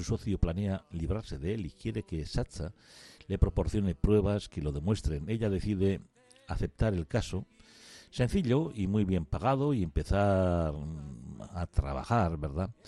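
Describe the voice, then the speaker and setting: In a dry, close recording with no echo, a man with a very deep, low pitch and a dark, mellow tone speaks fairly slowly with lively intonation. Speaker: radio host. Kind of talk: radio book show.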